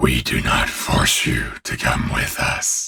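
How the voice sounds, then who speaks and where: A man's put-on character voice, growling and rumbling at a fairly slow pace. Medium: read story. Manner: grave, measured.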